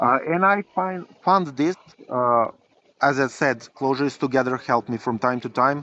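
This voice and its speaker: A man with a non-native accent, fairly high in pitch, with a bright, sharp tone and lively intonation at a moderate pace, in a dry, close sound with no echo. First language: not English. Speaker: software engineering professor and library developer. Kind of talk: interview. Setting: outdoors by a river. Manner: halting, many repetitions and fillers.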